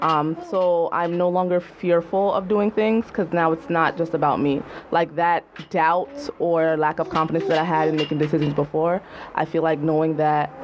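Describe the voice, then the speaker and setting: Speaking at a moderate pace in an American accent, a woman with a fairly low voice keeps her loudness very even over noticeable background noise. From US, Jamaican household. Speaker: writer. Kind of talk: casual chat. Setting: studio.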